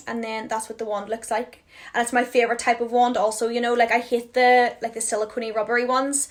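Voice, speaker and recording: Speaking at a very fast pace, a woman with a Northern Irish accent has a fairly high pitch. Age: 20s. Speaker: beauty influencer. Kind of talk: product haul chat. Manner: animated.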